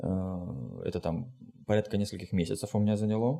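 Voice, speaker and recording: A man talks in a fairly low voice with a dark, mellow tone. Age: 30s. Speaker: psychotherapist, podcast co-host. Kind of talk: casual interview chat. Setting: remote call.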